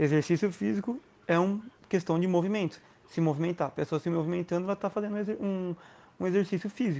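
A man with a Brazilian accent and a high, dark, mellow voice talks at a very fast pace with ordinary pitch variation, broken by long, frequent pauses. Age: 30s. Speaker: crossfit instructor. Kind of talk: interview.

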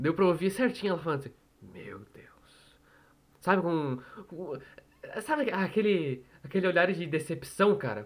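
The speaker goes at a fairly slow pace with long, frequent pauses. The recording is very clean, with a silent background. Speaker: amateur podcaster. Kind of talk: solo monologue podcast. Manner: casual, rambling with frequent filler words.

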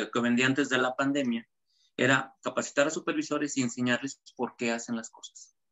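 A man with a Mexican accent speaks at a fairly quick pace. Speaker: shoe designer and pattern maker. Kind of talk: interview.

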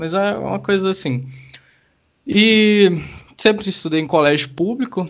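Pausing long and often, a man talks at a fairly slow pace in a high pitch. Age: 20s. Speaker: law student. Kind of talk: casual interview chat. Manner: halting, many fillers and repetitions.

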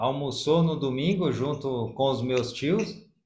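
A man speaks with ordinary pitch variation, and audible echo fills the room. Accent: Portuguese. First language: Portuguese (speaking Korean). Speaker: church member, bakery owner. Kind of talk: testimony.

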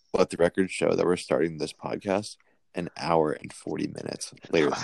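Here a man uses a put-on character voice, raspy and very deep with a very low pitch. The sound is dry and close with no echo, and the pace is moderate. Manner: relaxed, muffled.

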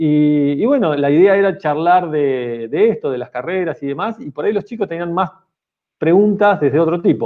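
A man speaks with a Rioplatense accent at a high pitch. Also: lively intonation, moderate pace. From Argentina, Mar del Plata. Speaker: technology teacher. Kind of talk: casual chat.

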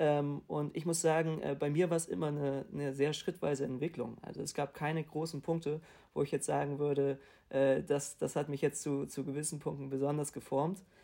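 This man talks at a fairly quick pace in a dark, mellow tone. His pitch is fairly high and his intonation fairly even. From Hamburg, northern Germany. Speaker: management consultant. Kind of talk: interview. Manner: halting.

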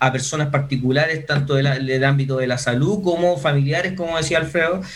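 The room echo can be heard clearly. A man talks at an even, moderate pace. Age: 30s. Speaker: entrepreneur, wheelchair user. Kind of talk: interview.

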